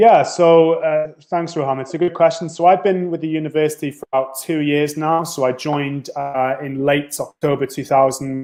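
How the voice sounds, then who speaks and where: A man with a North Welsh accent and fairly even intonation. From North Wales. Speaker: university international recruitment officer. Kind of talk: interview.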